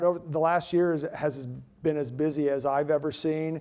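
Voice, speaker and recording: Moving at a fairly quick pace, a man talks with fairly even intonation and a fairly high pitch. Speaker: utility cooperative CEO giving keynote address. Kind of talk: conference speech. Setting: stage with audience. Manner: fast; hesitant with filler words and repetitions.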